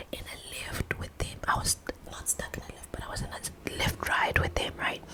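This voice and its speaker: Whispering in a relaxed tone, a woman is heard over noticeable background noise. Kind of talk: casual ASMR gossip to camera. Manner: whispered, relaxed.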